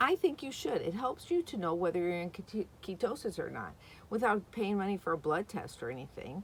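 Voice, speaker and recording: At a fairly quick pace, a woman with vocal fry and a medium pitch moves through very wide pitch swings. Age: 60s. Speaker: vlogger. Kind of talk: casual vlog talk. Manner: chatty, rambling with fillers.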